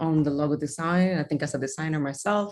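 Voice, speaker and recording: A woman's fairly low-pitched voice with a non-native accent. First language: not English. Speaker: designer and judge. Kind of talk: feedback to students.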